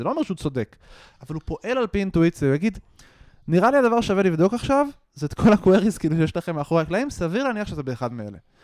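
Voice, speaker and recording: Very fast and with very wide pitch swings, a man's voice comes through dry and close with no echo. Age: 30s. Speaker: startup CTO and software developer. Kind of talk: casual interview.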